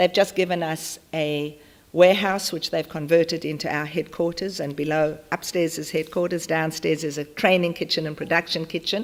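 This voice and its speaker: A woman's fairly low voice in a South African accent. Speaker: charity founder. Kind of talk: conference talk. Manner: animated.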